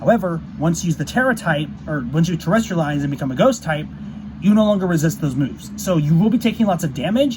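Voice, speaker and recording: Noticeable background noise accompanies a man with a fairly high pitch. He talks at a very fast pace with lively intonation. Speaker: gaming YouTuber. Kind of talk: tutorial. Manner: halting, many fillers.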